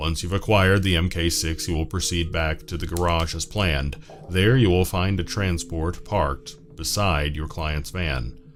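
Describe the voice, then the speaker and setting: A man uses a put-on character voice, very deep and low in pitch and resonant. He speaks at a moderate pace over clear background noise. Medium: solo performance. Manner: measured, formal, courteous.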